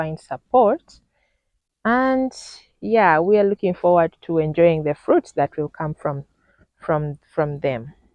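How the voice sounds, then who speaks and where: Using lively intonation, a woman speaks at a very slow pace with a Ugandan accent. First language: Luganda. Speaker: vlogger. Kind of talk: casual video tour. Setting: outdoors.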